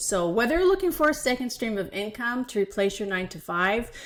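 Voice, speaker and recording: A woman's unremarkable speaking voice at a moderate pace, with lively intonation. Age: 60s. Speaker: online business coach. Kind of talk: vlog-style tutorial. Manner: casual, conversational with fillers.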